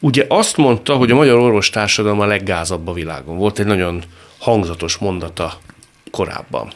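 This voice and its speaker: At a fairly quick pace, a man with a fairly low voice speaks with lively intonation amid noticeable background noise. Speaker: radio talk show host. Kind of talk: interview. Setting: radio studio. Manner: formal.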